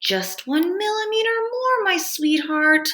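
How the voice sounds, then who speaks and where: In a put-on character voice, a female-sounding speaker goes extremely high, squeaky and strained, moving at a fairly slow pace. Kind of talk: falsely sweet, pet names. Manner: strained sweetness through gritted teeth.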